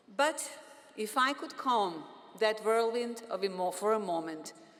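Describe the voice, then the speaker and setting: Over noticeable background noise, a woman with a fairly high pitch speaks at a fairly slow pace with lively intonation. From Bosnia. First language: Bosnian. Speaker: physician and professor, commencement speaker. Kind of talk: commencement speech. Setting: stage with audience.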